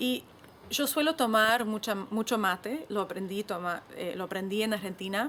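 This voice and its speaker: Her pitch is fairly high. This woman's pitch moves up and down in an ordinary way. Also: moderate pace. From Mexican.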